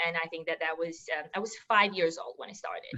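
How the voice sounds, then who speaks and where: Noticeable background noise accompanies a woman speaking at a fairly quick pace with fairly even intonation. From Serbia. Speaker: former college volleyball player. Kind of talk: interview.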